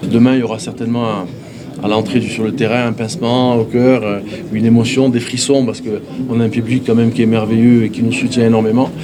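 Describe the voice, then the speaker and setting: Noticeable background noise and audible room echo fill the recording. A man talks in a monotone, flat intonation. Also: medium pitch for a man, fairly quick pace. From Corsica. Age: 60s. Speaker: football coach. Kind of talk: press conference. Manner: halting, frequent hesitations.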